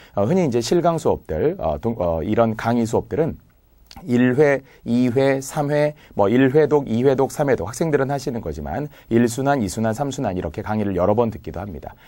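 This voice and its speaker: A man of medium pitch with a dark, mellow tone, very wide pitch swings and a moderate pace. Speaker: civil service exam Korean lecturer. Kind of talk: lecture. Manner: clear articulation.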